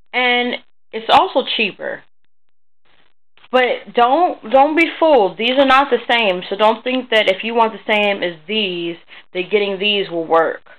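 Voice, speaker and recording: A woman speaks in an unremarkable speaking voice with a fairly high pitch. She talks fairly slowly with lively intonation. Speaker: art tutorial youtuber. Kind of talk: tutorial. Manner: casual, with many fillers.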